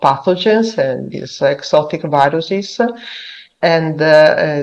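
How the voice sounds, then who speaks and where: A woman with an Italian accent at a very slow pace, a fairly low pitch, and fairly even intonation. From Italy. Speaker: virologist researcher. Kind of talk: conference presentation. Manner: halting, many fillers.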